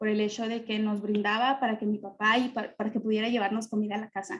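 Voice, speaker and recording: A woman in a Mexican accent speaks at a fairly high pitch. Her voice is somewhat breathy, with fairly even intonation. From Mexico. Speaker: panelist. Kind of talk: testimony.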